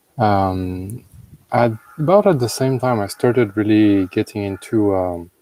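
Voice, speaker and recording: A man with a French accent, a dark, mellow tone and fairly low pitch, at a very slow pace with fairly even intonation. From France. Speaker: blockchain lead at an insurance company. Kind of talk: interview. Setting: live stream.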